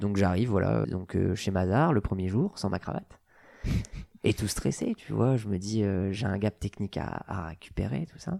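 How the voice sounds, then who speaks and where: On a very clean recording with a silent background, a man with a fairly low pitch and a dark, mellow tone talks at a moderate pace with ordinary pitch variation. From northern France, Nord-Pas-de-Calais. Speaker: chartered accountant, firm founder. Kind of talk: casual interview. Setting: his office. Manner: hesitant with fillers.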